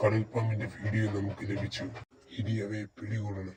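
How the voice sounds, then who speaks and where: A man's cartoonish character voice, fairly low-pitched, with monotone, flat intonation. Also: moderate pace. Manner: brisk, commanding.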